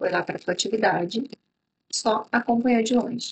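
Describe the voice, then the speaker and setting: Somewhat breathy woman's voice, fairly quick in pace, with lively intonation. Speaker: business consultant. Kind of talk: instructional talk to camera.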